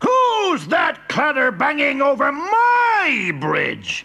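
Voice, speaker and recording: A put-on character voice shouts and bellows, gruff yet high in pitch. It moves at a very slow pace. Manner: bellowing, gruff.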